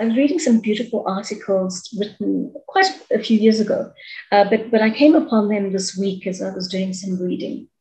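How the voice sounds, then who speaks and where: A woman speaks in a somewhat breathy voice over a quiet background. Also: fairly high pitch for a woman, ordinary pitch variation, moderate pace. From South Africa, Durban (Chatsworth); South Africa. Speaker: author and media personality. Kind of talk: interview; interview answer. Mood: engaged, thoughtful. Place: home room. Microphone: video call.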